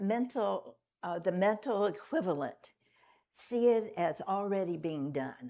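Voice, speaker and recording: A woman with a normal speaking voice, lively intonation and a fairly slow pace. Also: medium pitch for a woman. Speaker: Unity minister giving a Sunday talk. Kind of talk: church sermon talk to congregation. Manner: conversational, relaxed, with humorous asides.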